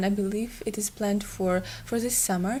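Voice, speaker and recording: The voice is somewhat breathy. It moves at a moderate pace with ordinary pitch variation. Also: woman. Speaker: YouTuber recommending TV shows. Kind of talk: casual vlog talk. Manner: hesitant, many fillers.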